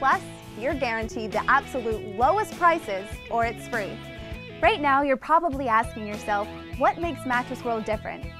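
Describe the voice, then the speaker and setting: Clear music plays in the background as a woman speaks in an upbeat tone at a moderate pace, in a dry sound with no echo. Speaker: infomercial host / spokesperson. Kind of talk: infomercial host narration. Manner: upbeat, friendly, polished. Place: shop.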